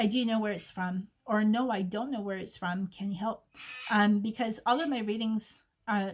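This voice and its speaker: A woman's somewhat breathy, fairly high-pitched voice with fairly even intonation. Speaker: psychic reader. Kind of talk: oracle card reading. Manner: gentle and maternal.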